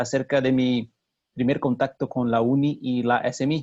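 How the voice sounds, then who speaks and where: A man with a Brazilian accent comes through in a dry, close sound with no echo. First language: Portuguese (speaking Spanish). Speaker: mining engineer. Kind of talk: webinar presentation. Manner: halting.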